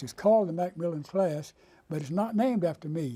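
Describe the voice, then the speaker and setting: Speaking with a North Carolina accent, a man has a high pitch and a dark, mellow tone. His pace is moderate and his pitch variation ordinary. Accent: US Southern, North Carolina. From North Carolina, Raleigh. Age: 80s+. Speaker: retired lawyer. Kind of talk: oral history interview.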